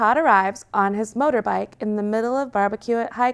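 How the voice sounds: Pitch varies in an ordinary way through this natural reading voice.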